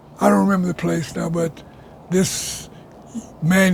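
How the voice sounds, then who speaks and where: Noticeable background noise surrounds a man with a high pitch. He talks at a fairly quick pace in a monotone, flat intonation. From US South (rural Alabama). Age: 90s. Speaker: oral history interviewee. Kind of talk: oral history interview. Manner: halting, repetitive.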